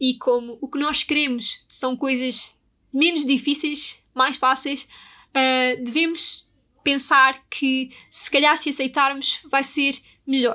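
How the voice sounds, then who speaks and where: A woman's high, bright, sharp, raised and projected voice in a European Portuguese accent, monotone and flat, at a very slow pace, on a very clean recording with a silent background. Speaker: podcast host. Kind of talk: solo podcast talk.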